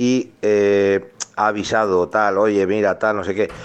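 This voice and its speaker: The speaker is a man with a fairly low pitch. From Álava, Basque Country. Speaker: listener sending voice message. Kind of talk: voice message.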